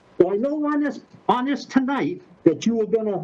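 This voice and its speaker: A man's voice with very wide pitch swings, a moderate pace, and noticeable background noise. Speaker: resident addressing city council. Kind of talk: public comment. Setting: video call. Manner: halting; loud. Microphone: muffled by face mask.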